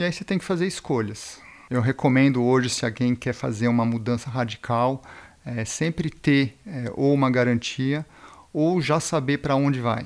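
On a very clean recording with a silent background, a man talks at a moderate pace and a medium pitch. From Brazil and Switzerland. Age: 40s. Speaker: brand founder, snowboarder. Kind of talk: interview. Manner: hesitant, filler-heavy.

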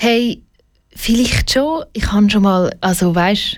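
Speaking in a Swiss accent, a woman has a fairly high pitch. Her pace is moderate, and her pitch varies in an ordinary way. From Switzerland, Schaffhausen. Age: 20s. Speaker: LGBTQ advocacy director. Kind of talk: radio interview. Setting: studio.

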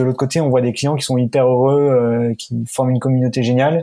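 A man speaks with fairly even intonation. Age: 20s. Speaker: startup founder. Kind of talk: interview. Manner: halting.

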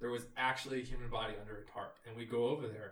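Speaking very fast with fairly even intonation, a man talks in an American accent. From Texas, near Austin. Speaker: engineer recounting a service trip. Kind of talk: casual chat.

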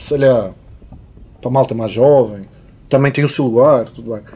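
A man with a fairly high voice keeps his intonation fairly even as he speaks at a moderate pace. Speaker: musician. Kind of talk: casual chat. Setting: studio.

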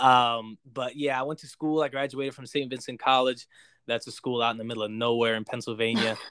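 Speaking with an American accent, a man moves at a fairly quick pace at medium pitch. His loudness swings widely. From New Jersey. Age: 20s. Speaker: worship singer. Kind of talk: casual chat. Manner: animated.

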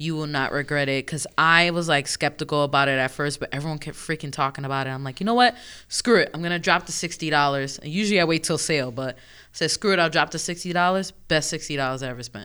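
Delivery comes at a very fast pace in an animated tone. The recording is very clean, with a silent background. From New York. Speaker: video game podcast co-host. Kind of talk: casual chat.

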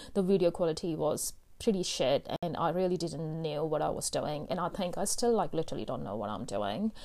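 A woman with a dark, mellow tone and vocal fry speaks at a fairly low pitch and a fairly quick pace, her voice making very wide pitch swings. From India. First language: Hindi. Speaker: podcast host. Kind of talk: solo personal monologue. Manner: casual with many fillers.

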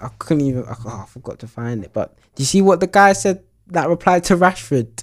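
A man's high voice in a British accent, fairly quick, with very wide pitch swings and big swings in loudness. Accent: British urban English. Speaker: podcast host. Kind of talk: casual chat.

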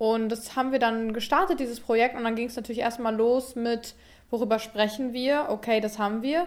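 A woman in an ordinary speaking voice talks at a fairly quick pace, fairly high in pitch, with fairly even intonation. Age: 20s. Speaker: YouTuber and podcast co-host. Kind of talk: casual chat.

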